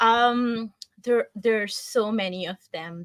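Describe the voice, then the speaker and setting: A woman speaks with a strong Pakistani accent and fairly even intonation, recorded dry and close with no echo. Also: very clean recording, silent background. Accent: thick Pakistani. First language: Urdu. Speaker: marketing team member. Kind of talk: interview.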